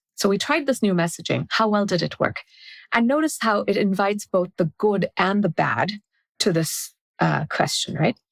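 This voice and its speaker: At a medium pitch and moderate pace, a woman talks with lively intonation, vocal fry and very even loudness, the sound dry and close with no echo. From India, then South Africa from twelve. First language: Marathi. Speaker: product strategy author and consultant. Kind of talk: podcast interview. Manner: explanatory, structured.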